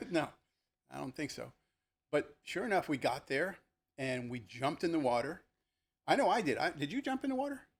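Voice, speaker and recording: Animated and at a fairly quick pace, a man with an American accent and a fairly high pitch uses vocal fry and very wide pitch swings, stopping often for long pauses. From New Jersey, Elizabeth. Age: 60s. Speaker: retired police lieutenant. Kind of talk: casual chat. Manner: animated storytelling.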